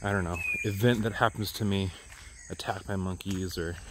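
The pace is moderate. The sound is dry with no echo, with light background noise. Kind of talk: casual vlog chat. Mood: joking, self-mocking. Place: forest. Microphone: phone near.

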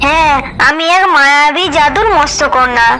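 In a cartoonish character voice that sounds female, the speaker pitches high and moves at a moderate pace over clear background noise.

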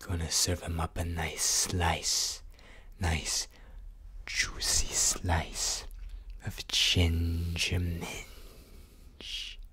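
A put-on character voice alternating between whispering and growling, at a very slow pace. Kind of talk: ASMR roleplay. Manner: soft-spoken.

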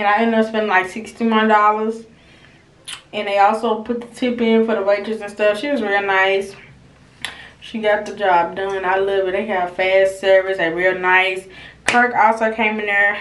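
A woman speaks at a moderate pace with monotone, flat intonation, with audible room echo and light background noise. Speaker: vlogger. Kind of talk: casual vlog chat. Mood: relaxed, laughing. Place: bathroom. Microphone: phone near.

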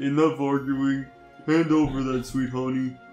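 A man performs a put-on character voice at a medium pitch. His intonation is monotone and flat, with clear music in the background. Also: moderate pace. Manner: bossy, demanding.

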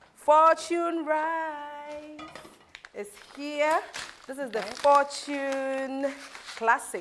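Over light background noise, a woman with a Ghanaian accent and a high pitch speaks at a very slow pace, with ordinary pitch variation and big swings in loudness. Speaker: cooking show host. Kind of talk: cooking show hosting, casual chat. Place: kitchen.

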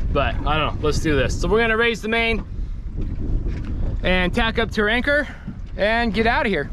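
A man speaks over noticeable background noise, and the sound is dry with no echo. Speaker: sailing vlogger. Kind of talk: casual vlog chat. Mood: playful, excited about the race. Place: boat. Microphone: phone near.

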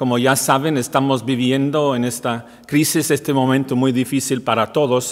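The man's monotone, flat intonation moves at a moderate pace. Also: quiet background. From Wales. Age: 50s. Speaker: priest. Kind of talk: welcome message; welcome address to parishioners. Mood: warm, calm, earnest. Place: church.

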